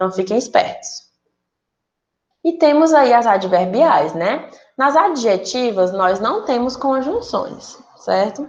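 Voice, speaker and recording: A woman's high voice, very slow, with very wide pitch swings. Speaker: teacher. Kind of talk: online class lesson. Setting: recorded virtual class.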